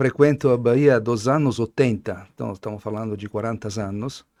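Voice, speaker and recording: Captured in a very clean recording with a silent background, a man talks at a fairly slow pace and a medium pitch, with ordinary pitch variation. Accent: Italian. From Italy. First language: Italian (speaking Portuguese). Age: 60s. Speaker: wine importer, Italian wine expert. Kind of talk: casual interview. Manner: halting.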